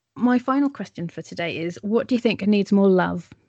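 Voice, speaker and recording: Music plays in the background as a woman speaks. Her intonation is lively. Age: 40s. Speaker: podcast host. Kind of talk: interview.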